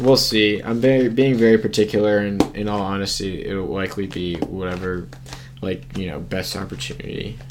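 With an American accent, a man talks at a moderate pace with a fairly low pitch, ordinary pitch variation and big swings in loudness. Audible room echo and noticeable background noise fill the recording. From US, Washington D.C. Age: 20s. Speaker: college student, ultimate frisbee player. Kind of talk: casual chat.

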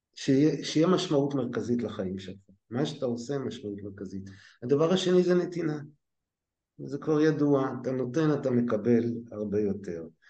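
Audible room echo surrounds a man whose intonation is lively and whose loudness swings widely. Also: medium pitch for a man, moderate pace. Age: 60s. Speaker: lecturer in education management, former scientist. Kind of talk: interview conversation.

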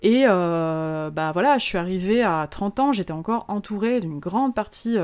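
In a very clean recording with a silent background, a woman at medium pitch uses a plain, everyday voice. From Moselle, eastern France. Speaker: illustrator and motion designer. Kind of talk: interview.

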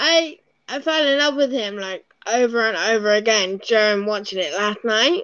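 A woman with a strong English accent talks at a moderate pace, fairly high in pitch and lively in intonation. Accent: English, fairly thick. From UK. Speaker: podcast co-host. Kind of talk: casual chat. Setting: remote recording.

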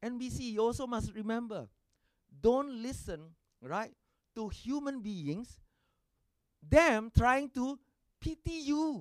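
An animated, dramatic delivery at a fairly slow pace. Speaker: pastor. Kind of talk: sermon, preacher in full flow with call-and-response. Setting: church with congregation. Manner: animated, rousing, rhetorical repetition, urging the congregation to shout amen; dramatic, acting out dialogue with exclamations and rising energy.

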